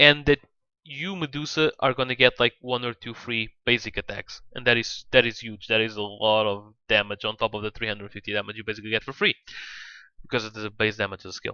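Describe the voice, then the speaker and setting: Recorded dry and close with no echo against a quiet background, a man speaks at a medium pitch and fairly quick pace, his bright, sharp tone showing ordinary pitch variation and big swings in loudness. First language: not English. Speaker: gaming content creator. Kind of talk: casual talk to camera, unscripted game analysis.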